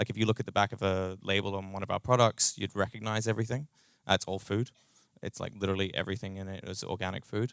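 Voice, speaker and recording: A man with a New Zealand accent speaks at a very fast pace, his fairly low pitch held in fairly even intonation. The recording is very clean with a silent background and a dry, close sound with no echo. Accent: New Zealand, noticeable. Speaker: startup co-founder and tech lead. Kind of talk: conference talk. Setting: meetup stage with audience. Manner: casual, many fillers.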